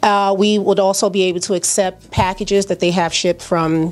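A woman speaks with a New York accent. Her intonation stays fairly even. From Brooklyn, New York (Flatbush). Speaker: small business owner. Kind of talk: interview. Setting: at her store during grand opening. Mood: warm, promotional. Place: shop. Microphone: handheld.

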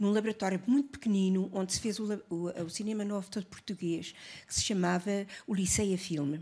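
Dark, mellow and somewhat breathy, a woman's voice moves at a fairly quick pace with ordinary pitch variation. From Portugal. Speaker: film editor; witness. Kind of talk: panel testimony. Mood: emotional, nostalgic. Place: hall. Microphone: handheld.

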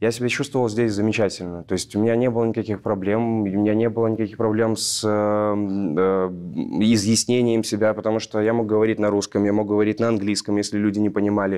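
Against a quiet background, a man with a fairly low pitch speaks with fairly even intonation and very even loudness. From Belarus. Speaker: actor. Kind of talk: panel discussion. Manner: halting. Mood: earnest, reflective. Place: stage. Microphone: lapel.

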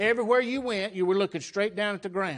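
A man with a Southern US accent and a high pitch, using ordinary pitch variation, over a quiet background. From US South. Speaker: pastor. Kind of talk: sermon. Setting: church. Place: church.

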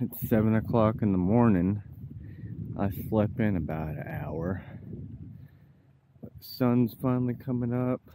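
Over noticeable background noise, a man talks at a fairly slow pace in a fairly low pitch with ordinary pitch variation, in a dry sound with no echo. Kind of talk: casual vlog chat. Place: waterside. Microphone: phone near.

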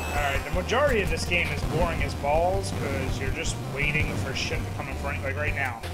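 Clear music sounds behind a man who delivers his words fairly quickly. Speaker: gaming streamer. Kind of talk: gameplay commentary. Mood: frustrated, swearing. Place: home room.

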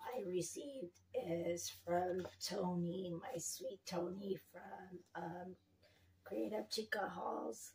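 Over noticeable background noise, a woman speaks very slowly at a fairly low pitch with lively intonation. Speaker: lifestyle vlogger. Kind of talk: casual vlog chat. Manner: hesitant, many fillers.

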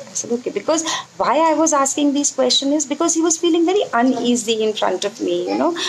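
Against noticeable background noise, a woman talks with very wide pitch swings. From India. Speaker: homeopathic doctor teaching; homeopathy teacher. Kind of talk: live online lecture. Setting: live stream. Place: home room. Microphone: earbuds.

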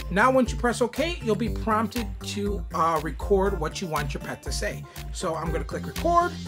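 Moderate-paced male speech over clear background music. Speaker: YouTuber reviewing an app. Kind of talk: tutorial. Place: home room.

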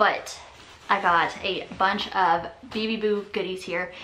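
Heard with audible room echo, a woman at medium pitch speaks at a fairly slow pace with a bright, sharp tone and fairly even intonation.

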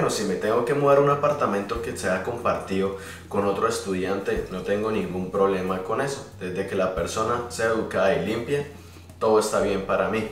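A man speaks fairly quickly, with audible room echo and light background noise. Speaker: vlogger. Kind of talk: casual vlog chat. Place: home room. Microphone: phone near.

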